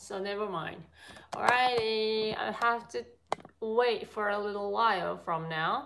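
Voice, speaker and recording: Over noticeable background noise, a woman speaks at a fairly slow pace with a Japanese accent. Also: ordinary pitch variation. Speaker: cooking vlogger doing a livestream. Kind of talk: casual live-stream cooking chat with viewers. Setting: live stream from a home kitchen. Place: kitchen. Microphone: phone near.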